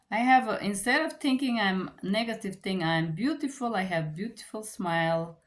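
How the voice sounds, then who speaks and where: A woman with a Bulgarian accent speaks at a fairly slow pace, sounding somewhat breathy. Her pitch swings very widely on a very clean recording with a silent background. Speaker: book reviewer. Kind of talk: book review. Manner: halting.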